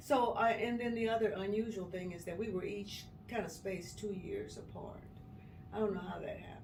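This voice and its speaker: With an American accent, a woman of medium pitch talks at a fairly quick pace, her intonation fairly even and her loudness swinging widely. Noticeable background noise and audible room echo are present. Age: 70s. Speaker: retired HR worker. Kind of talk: life story interview.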